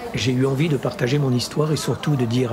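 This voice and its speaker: Over noticeable background noise, a man with a northern French accent speaks at medium pitch. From Grand Est, France (Champagne, Ardennes). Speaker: audiobook narrator and channel host. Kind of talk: casual Q&A monologue. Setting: café.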